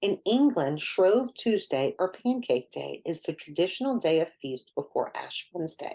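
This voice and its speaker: A woman talks at a moderate pace with very wide pitch swings. Her tone is dark and mellow. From New Orleans, Louisiana. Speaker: minister. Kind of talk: sermon. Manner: formal.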